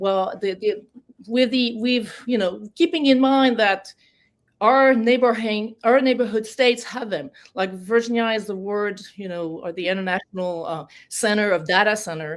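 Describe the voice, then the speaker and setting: With a French accent, a woman speaks at a fairly high pitch and a moderate pace, with ordinary pitch variation. The recording is very clean, with a silent background. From France. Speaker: political candidate. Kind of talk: interview. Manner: halting.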